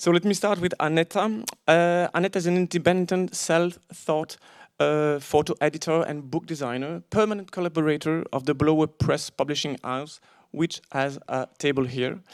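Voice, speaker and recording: A man's fairly high voice with a non-native accent, moderate pace and ordinary pitch variation, in a very clean, silent recording with a dry, close sound and no echo. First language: not English. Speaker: panel moderator. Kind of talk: moderated panel talk. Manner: hesitant, many fillers.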